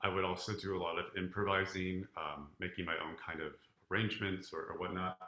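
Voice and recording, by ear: With audible room echo, a man speaks low in pitch, his bright, sharp tone showing little pitch movement. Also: fairly quick pace.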